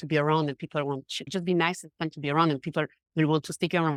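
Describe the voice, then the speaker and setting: A woman talks very fast in a very clean recording with a silent background and a dry, close sound with no echo. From Switzerland, Geneva. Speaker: confidence coach. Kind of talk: podcast interview.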